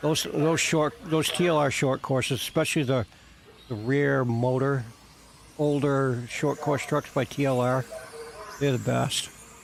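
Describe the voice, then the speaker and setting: Over noticeable background noise, a man with an American accent and a fairly high pitch talks at a fairly slow pace with long, frequent pauses, fairly even intonation, and very even loudness. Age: 50s. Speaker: RC car hobbyist streamer. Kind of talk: casual live stream chat. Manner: halting, repeats words.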